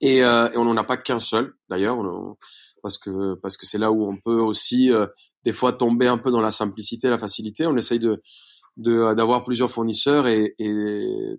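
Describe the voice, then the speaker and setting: Moderate pace and fairly even intonation from a man at medium pitch. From Colombia, Bogota. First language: Spanish (speaking French). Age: 30s. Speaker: chef. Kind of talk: interview. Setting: remote recording.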